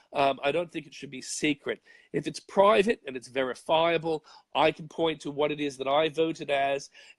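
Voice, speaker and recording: A man with an Australian accent speaks at a fairly high pitch and moderate pace. The sound is dry and close, with no echo. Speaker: conservative commentator. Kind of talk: interview answer.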